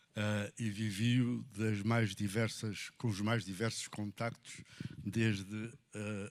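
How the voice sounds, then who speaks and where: A man's fairly low voice at a very slow pace, with monotone, flat intonation. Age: 70s. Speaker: audience member. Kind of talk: audience comment. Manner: halting.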